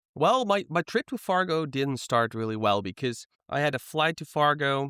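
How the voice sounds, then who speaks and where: A man with a Dutch accent, a bright, sharp tone and lively intonation at a moderate pace, in a very clean recording with a silent background and a dry, close sound with no echo. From Netherlands. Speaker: guest, friend of host. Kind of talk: casual chat.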